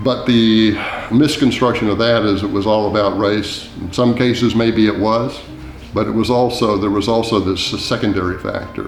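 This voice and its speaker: With an American accent, a man speaks at a moderate pace and fairly low pitch with fairly even intonation, amid audible room echo and noticeable background noise. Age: 70s. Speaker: author. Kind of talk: documentary interview.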